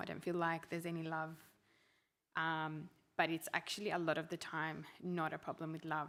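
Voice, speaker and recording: A woman's voice on a very clean recording with a silent background. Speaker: couples group talk leader. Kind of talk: group talk. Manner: loud.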